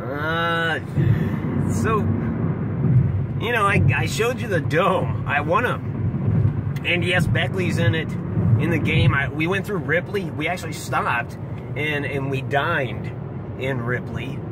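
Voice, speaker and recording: With an American accent, the speaker goes at a very slow pace amid loud background noise. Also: man. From central Ohio. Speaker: gaming YouTuber. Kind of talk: casual vlog commentary. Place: car.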